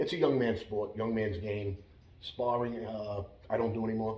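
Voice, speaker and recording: A man speaks in a monotone, flat way at a moderate pace, with audible room echo and noticeable background noise. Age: 60s. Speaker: former mobster and martial arts instructor. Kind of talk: interview. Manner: halting.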